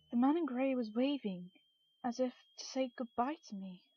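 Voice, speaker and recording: A woman speaking fairly quickly with ordinary pitch variation, music playing in the background. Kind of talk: creepypasta story reading.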